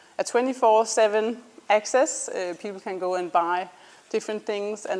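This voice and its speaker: With a Danish accent, a woman talks at a moderate pace using ordinary pitch variation. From Denmark. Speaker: startup founder. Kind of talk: student presentation. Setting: presentation to an audience. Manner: hesitant, many ums.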